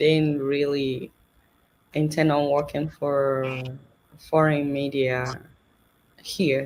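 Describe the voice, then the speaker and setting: Speaking very slowly, a woman with a Nigerian accent uses a very deep, low voice. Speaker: journalist and satire show host. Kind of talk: interview.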